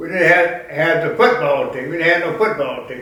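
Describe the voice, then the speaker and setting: A man with an American accent and a high pitch is heard over noticeable background noise. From Grant County, Indiana, USA. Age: 80s+. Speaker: war veteran and funeral director. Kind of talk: interview answer.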